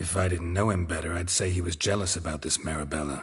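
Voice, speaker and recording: A man's put-on character voice, very deep and growling, delivered at a very fast pace in a deadpan tone. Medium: video game. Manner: deadpan, laconic.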